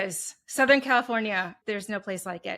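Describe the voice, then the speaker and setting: A woman's medium-pitched voice, with normal rise and fall, is heard on a very clean recording against a silent background. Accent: Wisconsin. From Wisconsin. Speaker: HR consultant, entrepreneur. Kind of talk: interview.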